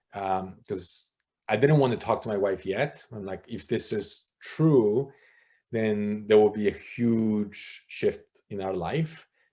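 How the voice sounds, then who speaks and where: A man's fairly low voice with a Polish accent, at a very slow pace with ordinary pitch variation and big swings in loudness, in a very clean recording with a silent background. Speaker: former church elder. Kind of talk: interview conversation. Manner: animated.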